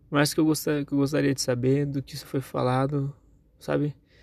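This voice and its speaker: Speaking at a fairly quick pace, a man with a fairly high pitch and a dark, mellow tone keeps his intonation flat and monotone. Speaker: vlogger. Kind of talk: personal tribute monologue. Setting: in a car. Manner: loud.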